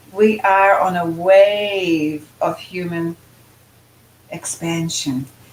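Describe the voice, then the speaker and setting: Background noise is noticeable as a woman talks. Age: 80s+. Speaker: spiritual channeler and author. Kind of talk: casual chat.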